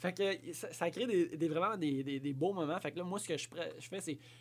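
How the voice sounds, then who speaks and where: This man has a plain, everyday voice, a fairly high pitch and ordinary pitch variation. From Quebec, Abitibi-Ouest. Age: 30s. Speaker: podcast guest. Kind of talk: casual chat.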